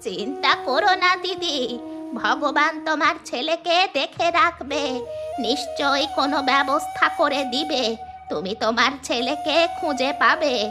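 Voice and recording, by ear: A woman's cartoonish character voice, high-pitched and very slow, over clear background music.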